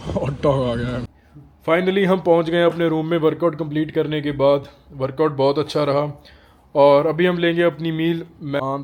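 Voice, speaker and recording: In a Punjabi accent, a man with a fairly high pitch talks at a moderate pace with fairly even intonation and long, frequent pauses. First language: Punjabi (speaking Hindi). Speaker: travel and fitness vlogger. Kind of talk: casual vlog talk to camera.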